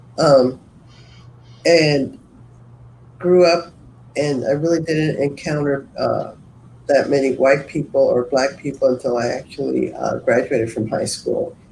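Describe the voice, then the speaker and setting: Pausing long and often, a man talks at a fairly slow pace. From US West, East Los Angeles. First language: Spanish. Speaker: community organization moderator. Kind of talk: online panel discussion.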